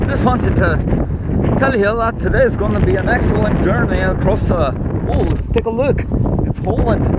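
A man at a moderate pace with long, frequent pauses, over loud background noise. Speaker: vlogger. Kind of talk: comedic mock guided tour with improvised fake-guide patter. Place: open country. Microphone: phone near.

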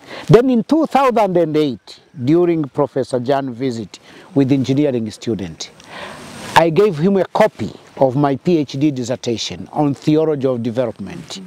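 A man talks at a fairly slow pace in a dry recording with no echo. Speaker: interviewee. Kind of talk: interview answer. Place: open country.

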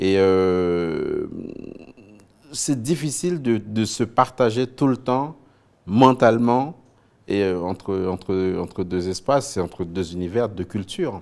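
A man with a fairly low pitch talks at a very slow pace, leaving long, frequent pauses. His intonation is lively and his loudness swings widely. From Haiti, Port-au-Prince; Haiti. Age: 40s. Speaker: TV news anchor and author; TV news anchor. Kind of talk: interview. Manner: hesitant, many fillers and repetitions. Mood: reflective, earnest. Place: studio. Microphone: lapel.

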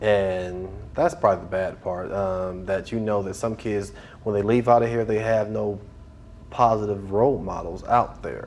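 A man speaks at a moderate pace in a fairly low pitch, using an ordinary speaking voice over light background noise. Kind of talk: interview answer. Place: hall.

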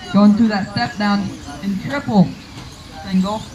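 A man talks fairly slowly at a high pitch with a slightly mellow tone and fairly even intonation, with faint background noise and faint crowd noise in the background.

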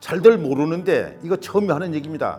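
Music plays in the background as a man speaks. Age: old. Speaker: village elder, great-grandson of a local independence figure. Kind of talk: interview answer.

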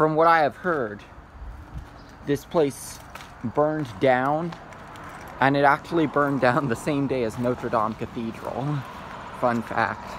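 Over light background noise, a man speaks at a fairly slow pace with ordinary pitch variation and long, frequent pauses, in a dry sound with no echo. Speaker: urban explorer vlogger. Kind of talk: casual vlog narration. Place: street. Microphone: phone near.

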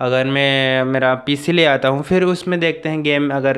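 A man's fairly high voice at a fairly slow pace, with fairly even intonation and a quiet background. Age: young. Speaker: YouTuber; vlogger. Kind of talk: vlog announcement. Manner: halting. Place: home room. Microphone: lapel.

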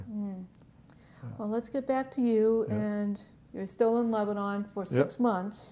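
At a fairly slow pace, a woman speaks at medium pitch in a dark, mellow tone with ordinary pitch variation. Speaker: oral history interviewer. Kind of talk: interview questions. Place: meeting room.

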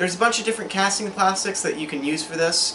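A man's fairly even intonation against noticeable background noise. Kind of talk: tutorial. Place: workshop.

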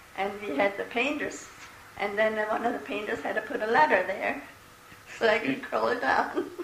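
A woman with an American accent makes very wide pitch swings. Light background noise and audible room echo are present. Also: moderate pace. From Eastern Pennsylvania, USA. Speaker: great grandmother interviewee. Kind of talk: oral history interview answer. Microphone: old recording.

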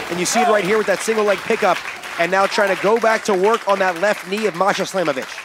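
Crowd noise fills the background as a man talks at a very fast pace. His voice is high-pitched, with an energetic, excited tone. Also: very even loudness. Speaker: wrestling commentator. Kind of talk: live wrestling commentary. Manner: excited play-by-play, punchy and fast-paced; projecting, energetic call of the action.

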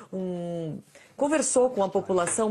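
This woman's voice is somewhat breathy. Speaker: foreign correspondent. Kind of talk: live TV news report. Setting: live link from New York. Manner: formal, steady, detailed.

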